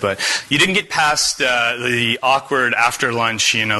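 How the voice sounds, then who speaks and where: A man with a Canadian Maritime accent talks with ordinary pitch variation over noticeable background noise. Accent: Canadian Maritimer. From Atlantic Canada. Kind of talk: casual, conversational presentation.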